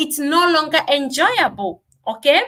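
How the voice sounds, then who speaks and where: Speaking with a Kenyan accent, a woman uses a raised, projected voice with a bright, sharp tone. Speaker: business coach. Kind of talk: live stream teaching. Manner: loud. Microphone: no microphone at first.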